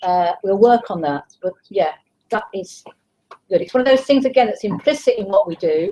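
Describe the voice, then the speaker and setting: A woman's medium-pitched voice, dark and mellow in tone, with lively intonation. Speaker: teacher trainer. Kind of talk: live online q&a session. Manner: fast.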